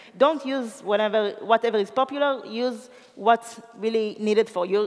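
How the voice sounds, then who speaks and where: Noticeable noise in the background beneath ordinary pitch variation. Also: woman. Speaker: DevOps engineer giving a conference talk. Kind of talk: conference talk. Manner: fast.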